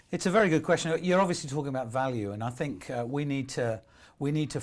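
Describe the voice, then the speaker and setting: Silence fills the background of this very clean recording. The speaker's intonation is lively. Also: man. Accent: British. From UK. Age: 60s. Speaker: motivational speaker. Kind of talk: interview.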